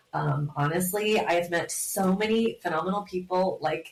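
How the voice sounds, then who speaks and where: Medium-pitched female speech at a moderate pace amid noticeable background noise. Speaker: podcaster and Enneagram coach. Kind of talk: casual interview chat.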